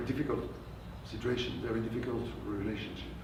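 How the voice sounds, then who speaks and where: Audible room echo and noticeable background noise surround a man speaking with a French accent. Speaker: translator and novelist. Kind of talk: author talk with Q&A. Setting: bookstore event with audience. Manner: halting.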